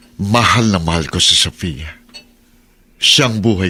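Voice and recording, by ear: Putting on a character voice, a man speaks with a bright, sharp tone and low pitch. His pace is fairly slow, with ordinary pitch variation.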